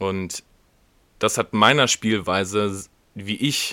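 This man has a fairly low pitch and a bright, sharp tone. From Germany, Wiedenbrück (Westphalia). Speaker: podcast host, rugby player. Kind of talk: casual chat. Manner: hesitant, many fillers.

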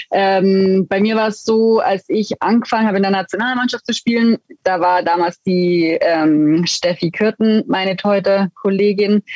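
A woman speaks at medium pitch and a moderate pace with hardly any pauses. Her loudness is very even, and her pitch varies in an ordinary way. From Allgäu, Bavaria (Füssen). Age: 30s. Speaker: retired ice hockey goaltender. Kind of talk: interview.

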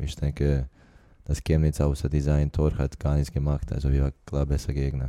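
At a moderate pace, a man with a non-native accent speaks in a very deep, low voice, monotone and flat, with very even loudness. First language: not German (speaking German). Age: 20s. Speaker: professional football player. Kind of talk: interview. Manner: halting non-native German.

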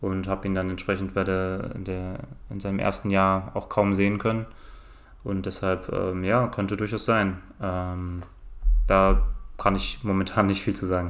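A man speaks at a fairly slow pace with a very deep, low pitch and monotone, flat intonation. Long, frequent pauses break up his speech, and there is audible room echo. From Germany, Cologne. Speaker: basketball podcast guest. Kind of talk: casual chat.

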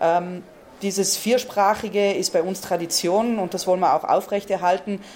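Speaking in a South Tyrolean accent, a woman talks at a moderate pace and medium pitch with flat, monotone intonation. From Val Gardena, South Tyrol, Italy. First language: Ladin (speaking German). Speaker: tournament organizer. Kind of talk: interview.

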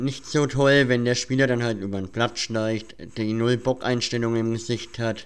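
A man's medium-pitched voice, fairly slow and monotone with flat intonation. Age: 20s. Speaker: podcast host. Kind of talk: casual interview.

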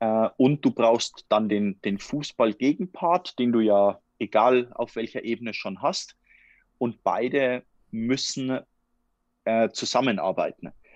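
A man at a medium pitch and a very slow pace, with ordinary pitch variation, a dry, close sound with no echo and a quiet background. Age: 20s. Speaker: futsal player and master's student. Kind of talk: casual interview. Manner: halting, with repetitions and fillers.

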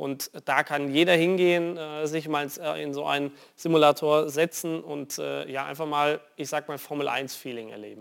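Recorded very cleanly against a silent background, a man with a normal speaking voice and fairly high pitch talks at a moderate pace, his intonation fairly even but his loudness swinging widely. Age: 20s. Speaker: racing driver. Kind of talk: TV interview. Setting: studio.

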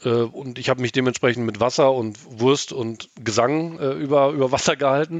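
This man has an ordinary speaking voice, a medium pitch and ordinary pitch variation. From Germany, East Westphalia (Gütersloh). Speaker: football fan, media worker. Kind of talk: casual podcast interview.

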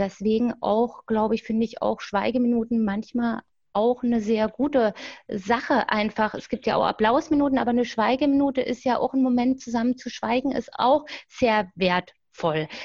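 Against a quiet background, a woman with a fairly high pitch uses an unremarkable speaking voice, ordinary pitch variation and a moderate pace. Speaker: grief counselor and fanzine editor. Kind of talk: interview.

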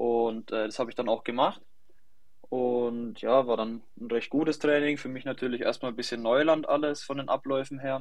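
A man with a normal speaking voice, medium pitch, moderate pace and fairly even intonation. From Germany, Lower Franconia (near Schweinfurt). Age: 20s. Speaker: young professional football goalkeeper. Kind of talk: podcast interview.

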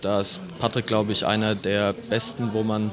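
Noticeable background noise sits under this man's voice. He speaks at a medium pitch and a fairly slow pace. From Palatinate, Germany (Meisenheim am Glan). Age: 20s. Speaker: handball player. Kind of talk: interview.

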